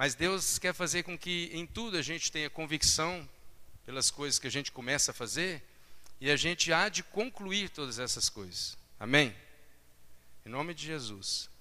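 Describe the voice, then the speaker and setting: With vocal fry and long, frequent pauses, a man speaks at a moderate pace in a fairly high pitch, his tone bright and sharp and his intonation lively. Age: 40s. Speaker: preacher. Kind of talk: sermon.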